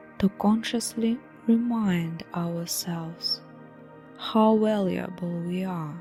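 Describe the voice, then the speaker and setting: Music plays in the background. A woman speaks at a very slow pace with a fairly low pitch and ordinary pitch variation. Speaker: hypnotherapist. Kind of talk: hypnosis meditation guide. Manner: calm, slow-paced, measured.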